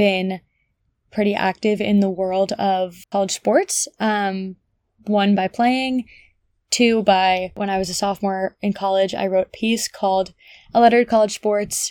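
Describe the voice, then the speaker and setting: A woman with an American accent speaks at a moderate pace. Her medium-pitched voice stays monotone and flat. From US Northeast, New Jersey (Bergen County). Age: 20s. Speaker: podcast host, college athlete. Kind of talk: solo casual monologue. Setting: childhood bedroom at home.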